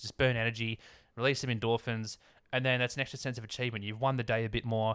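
On a very clean recording with a silent background, a man with an Australian accent talks at a very fast pace, at medium pitch, in a bright, sharp tone. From Sydney, Australia (northern beaches). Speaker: handyman. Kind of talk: casual chat. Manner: halting.

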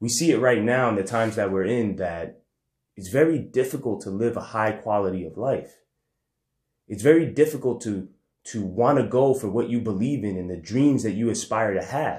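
A man talks in a normal speaking voice, pitched medium, at a moderate pace and with ordinary pitch variation. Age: 30s. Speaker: podcaster, entrepreneur and former teacher. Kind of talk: personal monologue.

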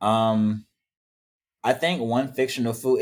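A plain, everyday voice at a moderate pace, on a very clean recording with a silent background. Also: man. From US South. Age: 20s. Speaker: small business owner. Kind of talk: casual chat.

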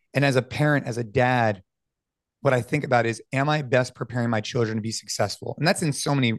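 This man has a plain, everyday voice at medium pitch, talking at a fairly quick pace with fairly even intonation in a dry, close sound with no echo. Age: 30s. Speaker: fitness athlete and entrepreneur. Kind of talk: casual interview.

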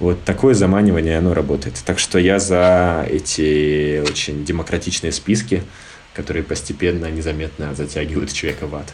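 A man talks in a very deep, low pitch. There is noticeable background noise in the recording. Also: ordinary pitch variation, moderate pace. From Siberia, Irkutsk. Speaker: film critic. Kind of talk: casual interview.

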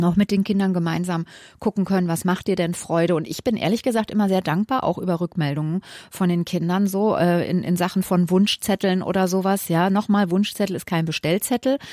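A woman speaks at a fairly quick pace in a dark, mellow, medium-pitched voice with ordinary pitch variation. The recording is very clean, with a silent background and a dry, close sound with no echo. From Hesse, Germany (Wiesbaden, Limburg). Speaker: family counselor. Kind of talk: radio advice talk.

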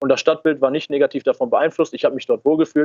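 Recorded dry and close with no echo, a man speaks at a fairly high pitch with fairly even intonation. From Ruhr area, western Germany. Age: 20s. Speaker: political activist. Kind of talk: interview.

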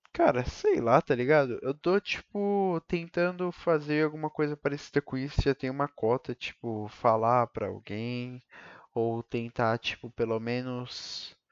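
This man has a normal speaking voice at medium pitch, with ordinary pitch variation and a fairly slow pace. The sound is dry and close with no echo, against a quiet background. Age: 20s. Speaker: podcaster, college student. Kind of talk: solo monologue. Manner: rambling, casual slang.

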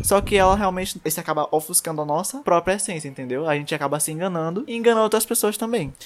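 Talking at a very fast pace with hardly any pauses, a man uses a high pitch and lively intonation. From Brazil, São Luís, Maranhão. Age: 20s. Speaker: podcast host. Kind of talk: casual chat.

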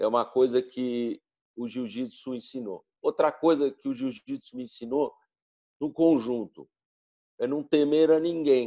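A man talks at a medium pitch and fairly slow pace in a dark, mellow tone. The sound is dry and close, with no echo. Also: ordinary pitch variation. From São Paulo, Brazil. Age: 60s. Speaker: jiu-jitsu practitioner. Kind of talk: interview.

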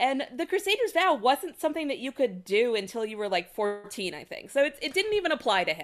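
At a fairly quick pace with hardly any pauses, a woman talks in a high pitch, with very wide pitch swings and big swings in loudness. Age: 30s. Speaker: lawyer. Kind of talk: casual chat.

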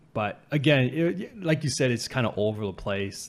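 This man has an ordinary speaking voice, with a Canadian accent, lively intonation and a moderate pace. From Canada, Vancouver area. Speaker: podcast host. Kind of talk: casual chat.

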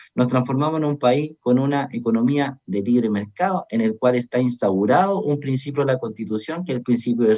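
In a plain, everyday voice, someone speaks at a fairly quick pace with lively intonation. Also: man. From Chile, O'Higgins region. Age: 30s. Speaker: lawyer and political candidate. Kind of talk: radio interview.

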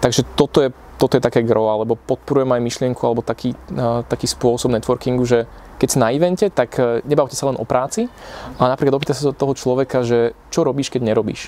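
With fairly even intonation, a man speaks at a very fast pace. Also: medium pitch for a man. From Slovakia, Piešťany. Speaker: entrepreneur. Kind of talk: casual interview.

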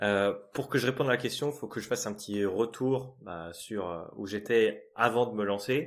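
The speech moves at a very slow pace with ordinary pitch variation, on a very clean recording with a silent background. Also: man. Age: 30s. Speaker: sales engineer turning freelance ads consultant. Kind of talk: interview, casual chat.

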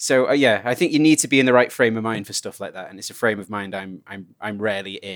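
A man with a British accent talks at a very fast pace with hardly any pauses, his pitch medium and its variation ordinary. His loudness swings widely. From England. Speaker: podcast guest and voice actor. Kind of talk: casual chat. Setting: remote recording.

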